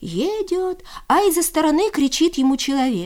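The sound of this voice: This woman's high-pitched voice has a slightly mellow tone and big pitch swings. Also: moderate pace.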